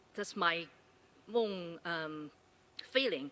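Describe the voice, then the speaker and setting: Fairly slow speech in a Chinese accent, bright and sharp in tone, with very wide pitch swings. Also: woman. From China. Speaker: university lecturer asking audience question. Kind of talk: audience question at panel forum. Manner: halting.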